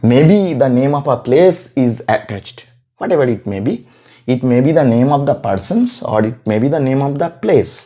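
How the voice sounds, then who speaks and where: At a moderate pace, a man with a Bengali accent speaks at medium pitch in a dark, mellow tone with lively intonation. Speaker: English teacher. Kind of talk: grammar tutorial. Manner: repetitive, self-correcting.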